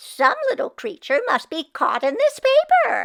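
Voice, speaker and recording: A woman performs a squeaky put-on character voice at an extremely high pitch, swinging very widely in pitch. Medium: read story.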